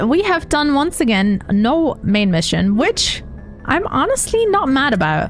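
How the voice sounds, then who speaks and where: Over music in the background, a woman speaks with a high pitch at a fairly slow pace. Her pitch swings very widely. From Germany. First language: German. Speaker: video game streamer. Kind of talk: live gameplay stream chat. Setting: live stream. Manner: animated.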